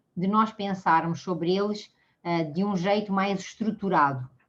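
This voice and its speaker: A woman with a Portuguese accent, medium pitch, ordinary pitch variation and a fairly slow pace. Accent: Portuguese accent, kept. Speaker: mediation speaker. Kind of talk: lecture. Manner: halting, many fillers.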